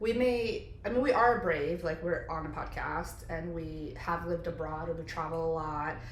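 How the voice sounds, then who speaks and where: With hardly any pauses, a woman with a fairly low pitch speaks at a moderate pace and ordinary pitch variation, amid noticeable background noise and audible room echo. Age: 30s. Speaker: podcast co-host. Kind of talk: casual chat. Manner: casual, filler-heavy.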